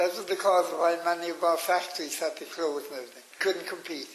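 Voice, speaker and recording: A man with a Cork accent talks at a fairly quick pace and a high pitch, with fairly even intonation. Noticeable background noise runs underneath. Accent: Cork Irish. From Ireland, County Cork. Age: 80s+. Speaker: elderly interviewee recounting memories. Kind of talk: oral history interview. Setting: radio interview. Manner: halting.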